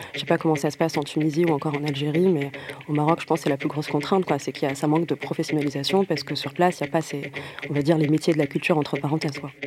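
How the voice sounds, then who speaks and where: Speaking very fast, a woman uses a very deep, low voice in a flat monotone. Noticeable background noise runs underneath. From Morocco. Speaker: DJ. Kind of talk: interview. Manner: hesitant, many repetitions.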